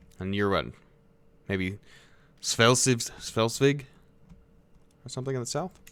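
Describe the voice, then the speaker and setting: Long, frequent pauses in a man's fairly slow delivery, medium in pitch, with ordinary pitch variation. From United States. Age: 20s. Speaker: video game streamer. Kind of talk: live gameplay commentary. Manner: casual, conversational.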